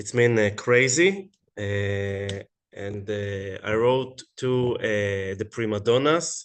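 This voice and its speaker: A man with an Israeli accent talks at a very slow pace and fairly low pitch. His pitch varies in an ordinary way against a quiet background. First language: Hebrew. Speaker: web series creator. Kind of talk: online panel discussion. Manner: halting.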